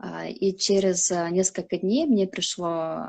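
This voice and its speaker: This voice moves at a fairly slow pace with ordinary pitch variation. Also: woman. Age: 20s. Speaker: flight attendant. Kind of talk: interview. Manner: hesitant, many fillers.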